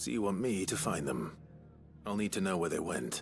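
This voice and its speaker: In a put-on character voice, a man speaks raspy and very deep, his pitch swinging very widely while his loudness stays very even at a moderate pace, with clear music behind him. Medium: video game. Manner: terse, dry.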